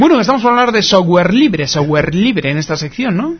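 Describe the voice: A man with a slightly husky edge speaks at a fairly quick pace, his high pitch making big swings.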